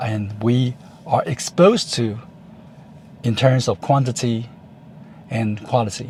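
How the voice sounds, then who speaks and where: A man speaks with a Taiwanese accent at a medium pitch. His pace is fairly slow, and his pitch varies in an ordinary way. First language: Chinese. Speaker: YouTuber. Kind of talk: vlog monologue. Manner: halting, with fillers.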